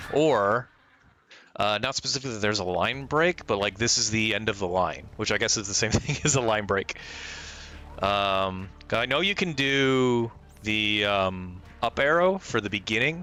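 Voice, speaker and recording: A man speaks loudly at a moderate pace, his fairly low voice moving with lively intonation. Noticeable background noise is present. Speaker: streamer coding a game bot. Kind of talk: live coding stream. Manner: halting, many fillers.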